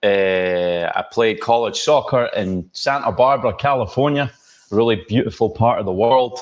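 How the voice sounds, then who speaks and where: A man with a Scottish accent speaks at a moderate pace in a medium-pitched voice with ordinary pitch variation. The background is quiet. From Scotland. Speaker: holiday lighting business owner. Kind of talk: podcast interview. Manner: energetic.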